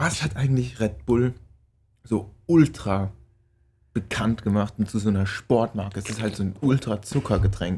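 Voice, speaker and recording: A man talks at a fairly slow pace with a fairly low pitch. His voice is somewhat breathy, broken by long, frequent pauses. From Palatinate, Germany. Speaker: podcast co-host. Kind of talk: casual chat.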